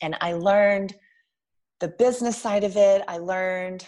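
A woman with an American accent uses an ordinary speaking voice at a medium pitch and moderate pace. Her intonation is fairly even, and the background is quiet. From Texas (Lubbock). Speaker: photographer. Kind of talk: casual interview.

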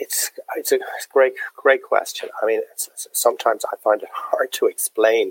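A man with a Dublin accent speaks at a moderate pace. The sound is dry and close, with no echo. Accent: Dublin Irish. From Dublin, Ireland. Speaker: drinks entrepreneur, distillery founder. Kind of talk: interview.

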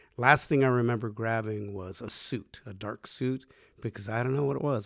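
With a very clean recording and silent background, a man speaks in a normal speaking voice at medium pitch and a moderate pace. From US, Mexican-American family. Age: 60s. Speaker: podcast co-host. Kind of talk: casual chat.

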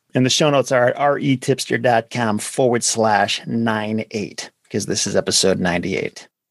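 In an ordinary speaking voice, a man talks at medium pitch and a moderate pace. His pitch varies in an ordinary way, and the sound is dry and close with no echo. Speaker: podcast host, land investor. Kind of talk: casual interview.

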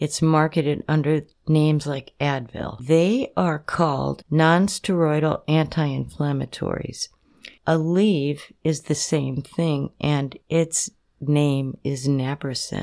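In an American accent, a woman speaks at a very slow pace, her very deep, low voice dark and mellow with fairly even intonation. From Minnesota, Duluth. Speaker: emergency physician. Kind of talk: informational interview. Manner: measured, instructive.

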